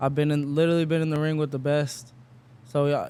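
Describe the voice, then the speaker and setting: In an American accent, a man talks at a fairly quick pace and a fairly high pitch. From Las Vegas, US. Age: 20s. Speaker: professional boxer. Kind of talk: interview. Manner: casual, filler-heavy.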